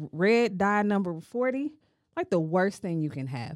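A woman's medium-pitched voice with very wide pitch swings, at a very slow pace, in a very clean recording against a silent background. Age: 30s. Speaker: podcast host. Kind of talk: casual chat.

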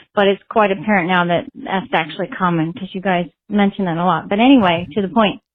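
At a very fast pace and with hardly any pauses, a woman talks at a medium pitch. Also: ordinary pitch variation. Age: 50s. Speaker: listener with a recorded question. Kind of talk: recorded voicemail question.

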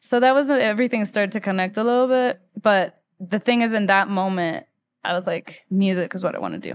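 With a Spanish accent, a woman talks fairly quickly with ordinary pitch variation. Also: medium pitch for a woman, quiet background. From Ecuador, Quito. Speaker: musician. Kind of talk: interview.

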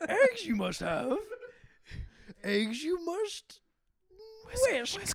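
A high-pitched, put-on character voice. It moves very slowly, with long pauses coming often. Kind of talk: inverted word order.

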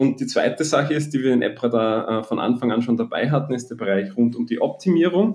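A man speaks with a slight Austrian accent and lively intonation. He barely pauses at all. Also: medium pitch for a man, fairly quick pace. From Austria, Graz area. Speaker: app marketing entrepreneur. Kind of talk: interview. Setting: podcast studio. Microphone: echoey, doubled audio in first minutes.

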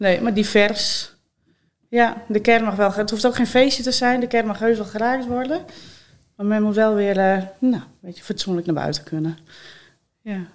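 Her pitch is fairly high, with ordinary variation. The woman keeps a moderate pace broken by long, frequent pauses. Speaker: funeral director. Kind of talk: casual chat.

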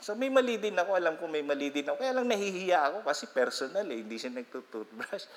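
This man's pitch swings very widely as he talks at a fairly quick pace. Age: 50s. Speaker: pastor. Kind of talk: sermon.

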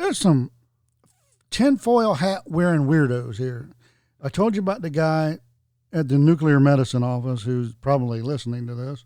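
Heard in a very clean recording with a silent background, a man with an American accent speaks in a fairly high pitch with a dark, mellow tone, lively intonation and long, frequent pauses. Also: moderate pace. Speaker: podcast co-host. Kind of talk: casual chat.

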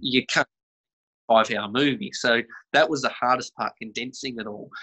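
Someone with an Australian accent talks at a moderate pace with ordinary pitch variation, the sound dry and close with no echo. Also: man. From Western Australia. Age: 20s. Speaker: film director. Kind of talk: interview.

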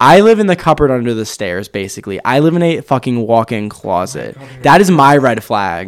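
With an American accent, a man talks with hardly any pauses and very wide pitch swings. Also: medium pitch for a man, moderate pace. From Maryland, Kent County. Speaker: college student. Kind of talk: casual chat.

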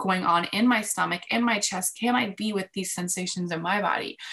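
This woman has an ordinary speaking voice at a medium pitch. She keeps a moderate pace and fairly even intonation. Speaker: love coach. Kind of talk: interview chat.

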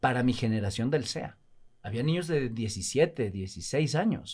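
A man speaks very slowly with lively intonation on a very clean recording with a silent background. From Mexico, Veracruz (Alvarado). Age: 50s. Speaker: actor and TV host. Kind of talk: casual interview chat.

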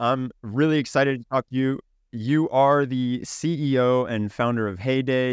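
A man's plain, everyday voice at medium pitch, with fairly even intonation, a moderate pace, and a dry, close sound with no echo. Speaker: podcast host. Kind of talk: interview conversation.

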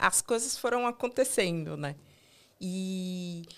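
At a fairly slow pace, a woman's voice swings very widely in pitch in a very clean recording with a silent background. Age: 30s. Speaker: digital accessibility QA analyst. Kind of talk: interview.

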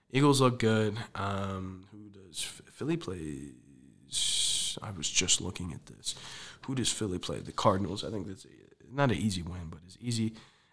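Lively in intonation and fairly low in pitch, a man speaks with big swings in loudness. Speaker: sports podcast host. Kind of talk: solo sports recap podcast. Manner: fast; casual, many filler words.

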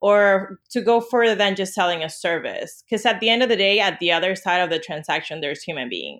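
With a Spanish accent, a woman speaks at a medium pitch with ordinary pitch variation in a very clean recording with a silent background. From Venezuela. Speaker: branding agency CEO. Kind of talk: interview.

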